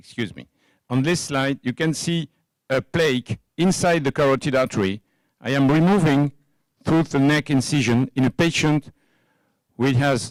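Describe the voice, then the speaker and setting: A man with a French accent and fairly high pitch, at a moderate pace with ordinary pitch variation and long, frequent pauses. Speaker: cardiovascular surgeon. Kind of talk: conference lecture. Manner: halting, many fillers.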